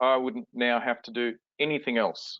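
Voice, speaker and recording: A man speaks at a medium pitch with an Australian accent. His intonation stays fairly even. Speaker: software product presenter. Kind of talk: webinar product demo.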